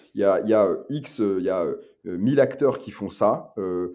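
Keeping a moderate pace, a man talks with a dark, mellow tone at a fairly low pitch and ordinary pitch variation. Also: very clean recording, silent background. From northern France, Lille. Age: 30s. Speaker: brewery co-founder and CEO. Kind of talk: interview. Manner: halting, many repetitions and fillers.

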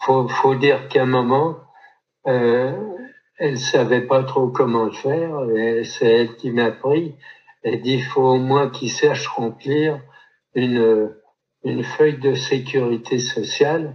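The speaker goes at a very slow pace with long, frequent pauses. Intonation stays fairly even. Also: man, medium pitch for a man. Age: 70s. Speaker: photographer, retired insurance employee and author. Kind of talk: interview testimony. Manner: halting, many repetitions.

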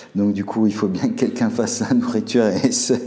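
A man talks at a fairly quick pace. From Alsace, Colmar. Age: 40s. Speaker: restaurant owner, former engineer. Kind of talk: casual interview chat. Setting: in his restaurant.

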